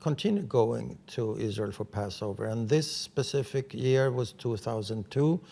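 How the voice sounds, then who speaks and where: In a very clean recording with a silent background, a man with a Swedish accent talks at a moderate pace and medium pitch with ordinary pitch variation. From Sweden. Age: 70s. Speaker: writer and journalist. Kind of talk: interview.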